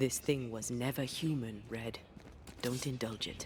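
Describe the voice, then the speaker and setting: Over clear background noise, a man puts on a character voice at a medium pitch and a moderate pace. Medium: video game.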